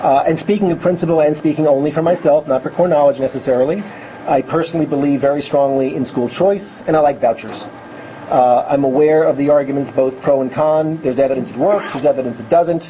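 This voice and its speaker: A very fast male voice with an American accent, fairly high pitch, fairly even intonation, and noticeable background noise. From New York. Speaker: education advocate, former teacher. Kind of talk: lecture. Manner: loud.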